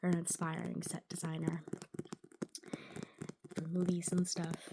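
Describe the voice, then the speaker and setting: A soft-spoken voice proceeds at a fairly slow pace. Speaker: ASMR creator. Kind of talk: casual talk to camera.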